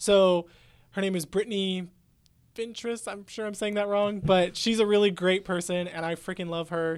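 A man with a Midwestern accent speaks at a moderate pace in a high pitch with fairly even intonation. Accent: Midwestern-sounding American. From California Central Valley. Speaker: graduating student. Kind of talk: casual chat.

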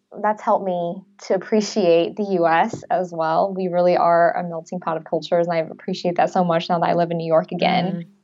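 A plain, everyday voice moves along at a fairly quick pace. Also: woman, fairly low pitch for a woman, fairly even intonation. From US, Chinese-American family. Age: 20s. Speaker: nurse, language program alumna. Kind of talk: interview.

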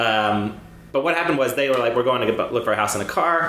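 There is audible room echo around this man's voice. Noticeable background noise runs underneath. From Cyprus. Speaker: film director and screenwriter. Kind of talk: casual chat.

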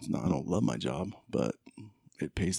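Vocal fry and a dark, mellow tone come through in an American accent at a fairly slow pace. The sound is dry and close with no echo, on a very clean recording with a silent background. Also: man. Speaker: guest, host's brother. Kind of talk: casual chat.

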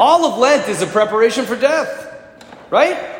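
An extremely high-pitched man's voice in an animated tone, with audible room echo and noticeable background noise. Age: 40s. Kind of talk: sermon.

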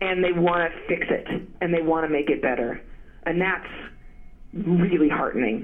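In a room with audible echo, a woman with a fairly low pitch speaks at a moderate pace with ordinary pitch variation and long, frequent pauses. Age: 40s. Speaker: journalist and author. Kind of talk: interview. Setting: phone call.

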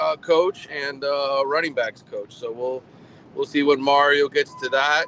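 A man's fairly high voice, flat and monotone, at a fairly slow pace, dry and close with no echo, over noticeable background noise. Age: 40s. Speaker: sports journalist covering college football. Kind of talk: casual chat.

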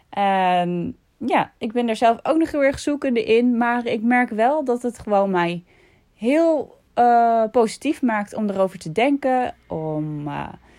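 In a very clean recording with a silent background, a woman talks at a very slow pace with a high pitch and lively intonation. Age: 30s. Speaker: vlogger and podcaster. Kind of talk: casual monologue.

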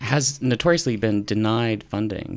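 An unremarkable speaking voice from a man with an American accent, medium-pitched with ordinary pitch variation, on a very clean recording with a silent background. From northern Utah. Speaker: professor. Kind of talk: casual chat.

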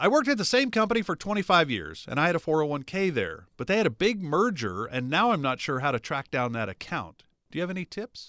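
On a very clean recording with a silent background, a man talks at a very fast pace with hardly any pauses, using a high, bright, sharp voice with very wide pitch swings. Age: 60s. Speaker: radio show host. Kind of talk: sponsored radio talk show.

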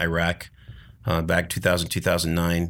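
In a very clean recording with a silent background, a man with an American accent and a very deep, low pitch speaks at a fairly quick pace. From US Pacific Northwest, Tacoma. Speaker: retired army colonel, veteran. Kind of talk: casual interview. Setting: studio sound booth.

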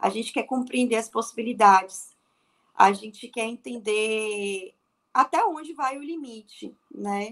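Here is an unremarkable speaking voice from a woman with a fairly high pitch. She speaks at a fairly slow pace with ordinary pitch variation. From Bahia, Brazil. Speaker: fashion designer and atelier owner. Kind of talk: interview.

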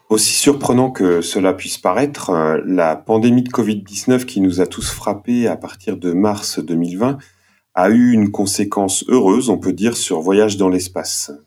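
A man's dark, mellow voice at a fairly low pitch moves at a fairly slow pace with ordinary pitch variation. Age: 40s. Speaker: podcast team member and nurse. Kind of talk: casual chat, master of ceremonies.

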